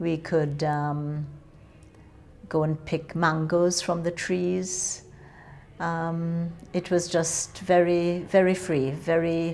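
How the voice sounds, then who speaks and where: At a very slow pace, a woman with a Jamaican accent speaks at a fairly low pitch in a flat, monotone way, with long, frequent pauses. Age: 60s. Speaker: interviewee, Windrush-generation migrant. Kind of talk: oral history interview.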